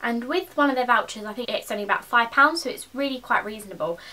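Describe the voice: A woman talks at a fairly quick pace with a fairly high pitch. Her tone is bright and sharp.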